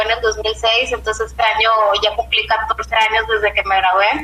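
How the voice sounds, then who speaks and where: With noticeable background noise, a woman speaks at a moderate pace in a fairly high pitch. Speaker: business professional. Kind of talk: interview. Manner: halting.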